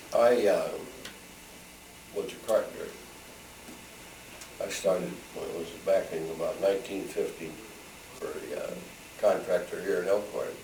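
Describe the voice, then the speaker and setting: Over noticeable background noise and audible room echo, a man talks at a moderate pace with long, frequent pauses and big swings in loudness. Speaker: retired carpenter, oral history interviewee. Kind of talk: oral history interview.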